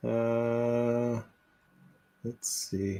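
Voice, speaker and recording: Medium pitch, ordinary pitch variation and an American accent from a man. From Wisconsin. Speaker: podcaster and author. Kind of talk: casual chat.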